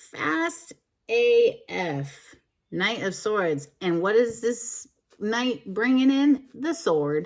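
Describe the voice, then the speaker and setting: Loud and very slow, a woman speaks at a fairly high pitch. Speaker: tarot reader. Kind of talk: tarot card reading. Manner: animated.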